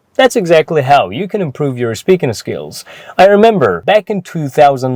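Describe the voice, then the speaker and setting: A man speaks at a moderate pace in a Persian accent, his fairly high pitch making very wide swings, in a dry, close sound with no echo. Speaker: English teacher. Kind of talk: tutorial.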